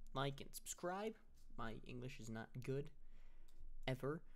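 Fairly even intonation from a man at a moderate pace. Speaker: YouTube gaming creator. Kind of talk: casual update monologue to camera. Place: home room. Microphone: webcam.

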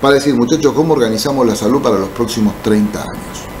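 With faint music behind him, a man speaks at a moderate pace with ordinary pitch variation. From Argentina, Buenos Aires province. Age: 60s. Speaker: mayor and politician, physician; mayor, politician. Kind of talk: interview. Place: studio. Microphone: studio mic.

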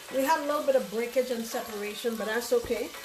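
Over clear background music, a woman speaks in a high voice with ordinary pitch variation. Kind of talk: cooking tutorial. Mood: relaxed, cheerful. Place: kitchen. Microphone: camera far.

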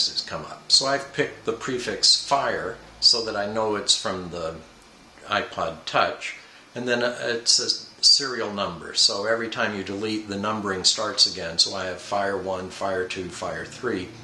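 A man at a moderate pace, with audible room echo and light background noise. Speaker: product reviewer. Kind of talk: review talk to camera. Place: home room. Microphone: camera far.

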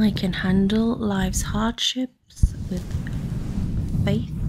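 A woman at a very slow pace amid loud background noise. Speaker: ASMR creator. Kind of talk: soft-spoken ASMR affirmations. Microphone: studio mic.

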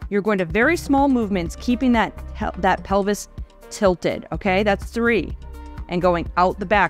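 Faint music plays in the background. The sound is dry with no echo, at a moderate pace. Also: woman. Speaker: fitness instructor. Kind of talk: exercise instruction. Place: home room.

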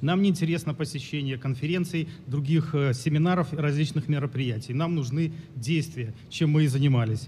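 A man speaks at a moderate pace in a fairly high voice. His intonation is fairly even, his loudness very even, and the room echo is audible. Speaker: former police officer, activist. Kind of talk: formal speech. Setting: conference stage with audience. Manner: halting.

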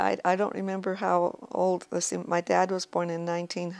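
A woman speaks with an American accent. Her tone is warm. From Wyoming, US. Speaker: elderly grandmother telling life story. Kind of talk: oral-history interview, reminiscing about family and early life. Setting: recorded interview, relative asking questions. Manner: slow, unhurried, reflective, with warm chuckles. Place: home room.

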